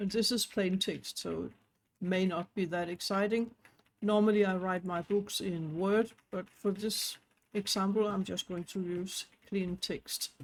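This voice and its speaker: A woman with a non-native accent at a fairly slow pace, monotone, flat intonation. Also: medium pitch for a woman. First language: not English; knows Danish and French. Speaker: online business tutorial creator. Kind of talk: tutorial.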